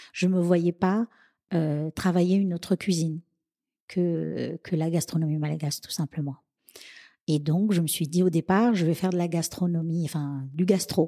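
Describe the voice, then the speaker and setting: The voice has a dark, mellow tone, fairly even intonation and a moderate pace, with long, frequent pauses. The sound is dry and close with no echo, in a very clean recording with a silent background. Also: woman, fairly low pitch for a woman. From Madagascar, then Réunion from age 11. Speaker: chef and caterer. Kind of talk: interview.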